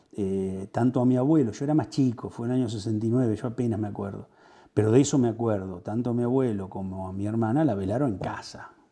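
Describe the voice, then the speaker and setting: A man with a dark, mellow tone talks at a fairly quick pace. His pitch varies in an ordinary way, and the background is quiet. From Argentina, Buenos Aires province. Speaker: local politician. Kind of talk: interview. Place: home room.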